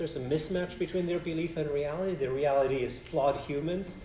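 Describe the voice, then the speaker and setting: A man with a high pitch and a dark, mellow tone talks at a moderate pace. Audible room echo surrounds his voice. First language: Polish. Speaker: philosophy professor. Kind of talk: Q&A after a lecture. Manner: halting, many restarts.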